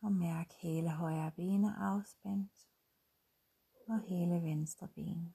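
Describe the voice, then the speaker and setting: In a calm, soothing tone, the speech moves very slowly with long, frequent pauses. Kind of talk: guided meditation. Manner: slow, calm, soothing; long silent pauses between short instructions.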